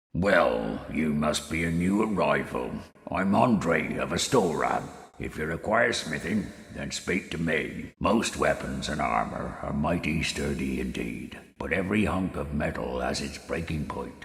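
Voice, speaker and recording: In a put-on character voice with very deep, low pitch, a man speaks at a moderate pace with lively intonation. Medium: machinima. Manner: hearty, folksy.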